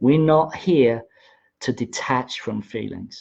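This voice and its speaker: A man with a medium-pitched voice and ordinary pitch variation speaks at a very slow pace. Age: 60s. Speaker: spiritual teacher. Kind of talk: livestream talk. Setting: Facebook Live video stream. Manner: halting, many fillers and repeats.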